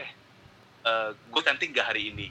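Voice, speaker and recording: A man speaks at a moderate pace. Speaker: podcast guest. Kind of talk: casual chat. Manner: animated, casual.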